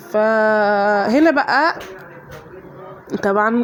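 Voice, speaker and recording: Noticeable background noise sits behind the recording. A woman speaks with a fairly high pitch. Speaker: home routine vlogger, mother. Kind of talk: casual voiceover narration.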